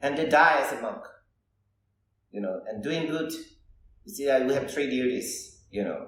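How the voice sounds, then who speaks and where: Audible room echo surrounds a man's fairly high voice as he talks at a moderate pace with lively intonation. He takes long, frequent pauses, and his loudness swings widely. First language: Thai. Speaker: Buddhist monk. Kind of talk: casual chat. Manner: halting.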